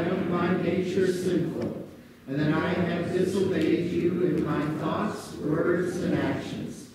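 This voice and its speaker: A man speaks at a very slow pace. Loud background noise and audible room echo surround him. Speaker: minister leading worship. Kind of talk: liturgy. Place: church. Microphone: camera far.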